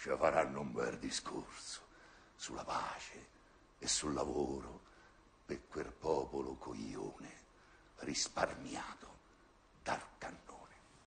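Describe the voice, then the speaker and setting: Long, frequent pauses break up a man's very slow speech. Light background noise is present. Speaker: actor. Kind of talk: poetry reading. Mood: ironic, bitter, theatrical. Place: stage.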